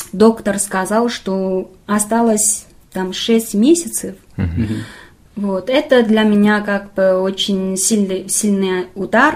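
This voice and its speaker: Very slowly, a woman talks with ordinary variation in her pitch. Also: medium pitch for a woman. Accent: Chinese. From northern China, Qiqihar. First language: Chinese (speaking Russian). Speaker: assistant film director. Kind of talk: casual interview. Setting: makeshift studio. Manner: halting, many fillers.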